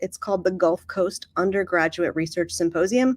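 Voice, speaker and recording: Recorded with a dry, close sound and no echo, a woman speaks with lively intonation. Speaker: university graduate admissions dean. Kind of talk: webinar presentation. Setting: video call. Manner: fast.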